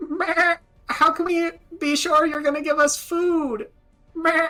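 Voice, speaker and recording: Over faint background music, a put-on character voice at an extremely high pitch speaks at a fairly slow pace. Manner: bleating, suspicious.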